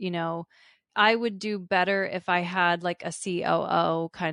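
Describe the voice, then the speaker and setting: Against a quiet background, a woman with a US East Coast accent is heard in a dry, close sound with no echo. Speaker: podcast host. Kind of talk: casual interview conversation.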